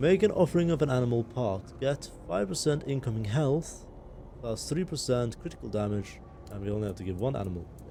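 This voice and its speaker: Quick-paced and marked by vocal fry, a man speaks with a dark, mellow tone and very wide pitch swings. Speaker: gaming video creator. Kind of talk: let's play commentary. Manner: casual, with filler hesitations.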